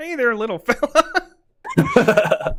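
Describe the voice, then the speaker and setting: This is a put-on character voice with a high pitch. The act comes in a Boston accent. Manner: goofy, cooing, friendly.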